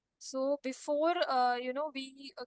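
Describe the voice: Recorded with a dry, close sound and no echo, a woman speaks at a high pitch with fairly even intonation.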